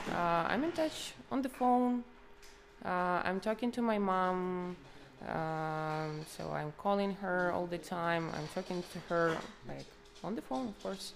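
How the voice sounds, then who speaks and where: A woman speaks very slowly with a Ukrainian accent. Her voice is fairly low, with ordinary pitch variation. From Ukraine, Kharkiv region. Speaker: Ukrainian refugee. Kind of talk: street interview.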